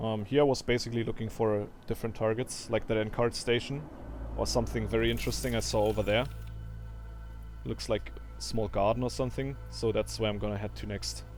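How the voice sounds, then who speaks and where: Fairly quick speech in a strong non-native accent, with music in the background. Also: man. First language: not English. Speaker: gaming video creator. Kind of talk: gameplay commentary tutorial. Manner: dry delivery; halting, with fillers.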